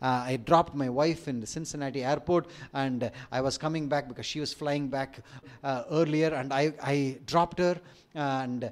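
A man with an Indian accent, fairly even intonation and moderate pace, in a very clean recording with a silent background. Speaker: preacher. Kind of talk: sermon. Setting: church.

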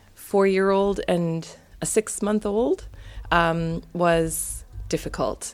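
Fairly even intonation marks this woman's speech. The recording is very clean, with a silent background. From Canada. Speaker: international science teacher. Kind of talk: casual chat.

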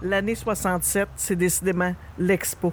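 A woman's medium-pitched voice amid noticeable background noise. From Quebec, Rouyn-Noranda (Abitibi). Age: 50s. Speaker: podcast host. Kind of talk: scripted narration.

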